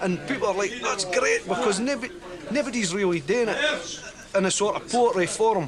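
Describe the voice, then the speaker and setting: A man with a strong Dundee accent, high in pitch, with ordinary pitch variation and noticeable background noise. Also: moderate pace. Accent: broad Dundee Scots. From Scotland, Dundee. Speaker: performance poet. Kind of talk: interview.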